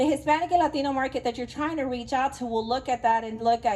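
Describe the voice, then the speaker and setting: An East Texas accent with fairly even intonation. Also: woman. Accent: East Texan. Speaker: business association president. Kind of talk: presentation talk.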